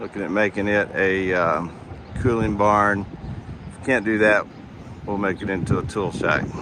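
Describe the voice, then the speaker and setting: A man in a strong West Texas accent, monotone and flat, with long, frequent pauses and noticeable background noise. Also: moderate pace. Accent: West Texas, pronounced. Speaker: school district administrator. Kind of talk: walking video tour narration. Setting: outdoors at farm barn.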